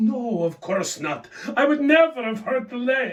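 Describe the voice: Amid audible room echo, a man performs a put-on character voice at a fairly slow pace, pitched extremely high, with big pitch swings.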